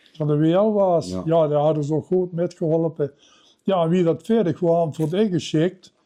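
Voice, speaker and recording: Here a man speaks with a high pitch and a dark, mellow tone. His pace is moderate and his intonation fairly even. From Limburg, Netherlands. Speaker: retired teacher and carnival songwriter. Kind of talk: interview answer.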